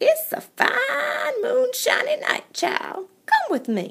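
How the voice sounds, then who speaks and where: A woman puts on a squeaky character voice, extremely high in pitch, and speaks at a very slow pace. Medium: read story. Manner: warm, folksy.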